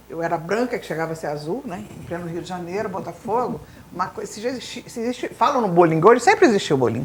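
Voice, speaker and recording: A woman speaks at a very fast pace and medium pitch, her intonation lively and her loudness swinging widely. Noticeable background noise runs underneath. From grew up abroad in Latin America (Bolivia etc.), German school. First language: Spanish (speaking Portuguese). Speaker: teacher. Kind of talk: interview.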